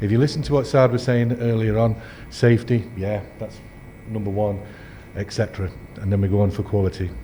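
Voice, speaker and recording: Speaking at a fairly quick pace, a man with a fairly low pitch leaves long, frequent pauses. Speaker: endoscopy trainer. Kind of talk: lecture. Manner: fast when excited; animated.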